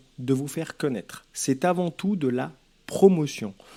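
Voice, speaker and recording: With a Lyon accent, a man speaks very slowly in a dark, mellow tone with lively intonation, recorded very cleanly against a silent background. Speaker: author giving advice. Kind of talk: advice vlog.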